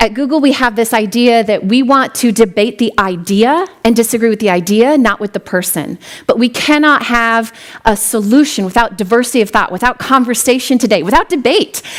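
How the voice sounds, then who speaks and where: Noticeable background noise behind a woman's fairly quick speech, in an American accent. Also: fairly high pitch for a woman, ordinary pitch variation. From US Midwest, western South Dakota. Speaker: tech executive, keynote speaker. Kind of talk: keynote speech. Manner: fast.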